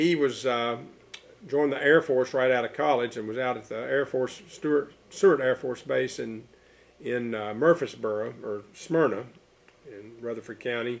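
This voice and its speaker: Speaking in an East Tennessee accent, a man uses a medium pitch with ordinary pitch variation at a moderate pace. His loudness swings widely. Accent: Southern US (East Tennessee). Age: 70s. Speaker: local historian and business owner. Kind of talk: oral history interview. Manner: halting, many fillers and repetitions.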